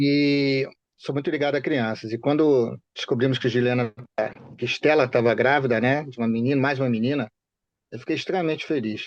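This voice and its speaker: A man speaks at a fairly quick pace in an unremarkable speaking voice, medium in pitch. His intonation is fairly even, and the background is quiet. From Rio de Janeiro state, Baixada Fluminense (Duque de Caxias). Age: 60s. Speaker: bereaved father. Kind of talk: interview.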